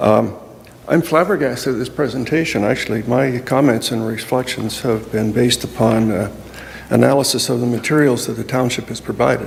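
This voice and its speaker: A man talks at a fairly quick pace with ordinary pitch variation and medium pitch. Noticeable noise sits in the background. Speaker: public delegate. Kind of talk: public delegation speech.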